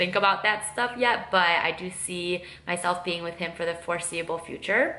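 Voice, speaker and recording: Amid noticeable background noise and audible room echo, a woman with a strong Midwestern accent speaks at a fairly low pitch and moderate pace, with fairly even intonation and hardly any pauses. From US Midwest, Michigan. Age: 20s. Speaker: lifestyle and makeup vlogger. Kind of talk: casual get-to-know-me vlog while doing makeup. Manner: casual, many fillers (um, like).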